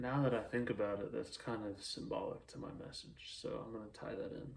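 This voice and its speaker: A man whispers at a moderate pace. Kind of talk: casual monologue.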